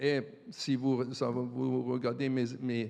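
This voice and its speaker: There is a quiet background as a man speaks at a medium pitch. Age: 60s. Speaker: supply chain strategy expert, panelist. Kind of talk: conference panel discussion. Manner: halting, many repetitions.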